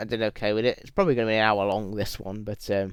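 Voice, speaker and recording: A man with a British accent at a medium pitch and a very fast pace, on a very clean recording with a silent background. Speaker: YouTuber. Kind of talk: Q&A video monologue. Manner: halting, repetitive.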